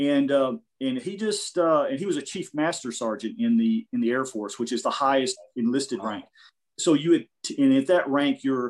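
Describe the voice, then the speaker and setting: Over a quiet background, a man with a Midwestern accent talks at a moderate pace with lively intonation. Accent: American Midwest. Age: 50s. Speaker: jiu-jitsu practitioner. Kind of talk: casual interview. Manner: halting, many fillers.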